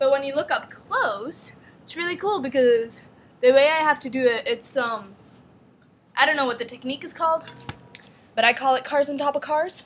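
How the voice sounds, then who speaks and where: At a moderate pace and high pitch, a woman speaks with ordinary pitch variation and long, frequent pauses over noticeable background noise. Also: big swings in loudness. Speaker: vlogger. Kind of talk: casual vlog. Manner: chatty, filler-heavy.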